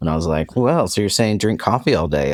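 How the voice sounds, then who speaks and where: With vocal fry, a man speaks using lively intonation. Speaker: podcast co-host. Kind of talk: casual chat.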